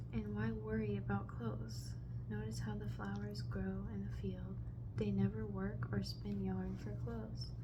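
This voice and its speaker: Soft-spoken and fairly slow, a woman talks at a very deep, low pitch with very wide pitch swings over noticeable background noise. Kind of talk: ASMR Bible reading with personal commentary. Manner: soft-spoken, lofi ASMR.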